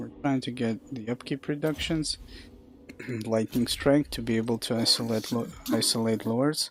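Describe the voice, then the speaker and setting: A man with a mid-range pitch is heard while music plays behind him. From Russia. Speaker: game streamer. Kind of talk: casual live stream commentary.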